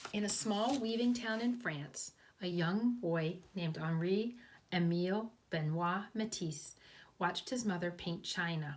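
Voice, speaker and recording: Somewhat breathy, the voice has ordinary pitch variation. The pace is fairly slow. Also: woman, medium pitch for a woman. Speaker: kindergarten teacher. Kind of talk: reading aloud; children's storytime explanation.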